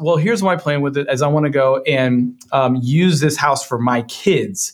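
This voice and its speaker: A man with an unremarkable speaking voice, fairly high in pitch, at a moderate pace with hardly any pauses. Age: 30s. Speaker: digital marketing agency founder and investor. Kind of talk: casual interview.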